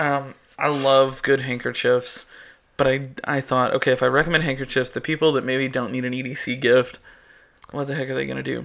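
Against a quiet background, a man with medium pitch talks at a fairly quick pace in a monotone, flat intonation. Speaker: podcast host. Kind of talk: casual chat.

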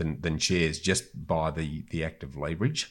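Here a man speaks with an Australian accent in a very deep, low voice. His intonation is fairly even. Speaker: property investor and author. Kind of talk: interview conversation. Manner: halting, with repetitions.

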